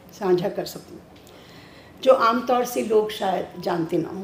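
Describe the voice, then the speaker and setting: A woman speaks with audible echo from the room around her. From Delhi, India. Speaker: writer and storyteller. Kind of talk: memorial speech. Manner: halting.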